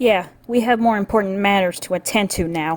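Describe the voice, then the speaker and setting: Put-on character voice from a woman at a medium pitch, with ordinary pitch variation. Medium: audio drama. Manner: firm, focused.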